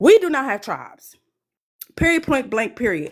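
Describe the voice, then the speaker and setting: With an American accent, a woman speaks at a moderate pace with ordinary pitch variation in a very clean recording with a silent background. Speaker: panel participant on live stream. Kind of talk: live stream panel commentary.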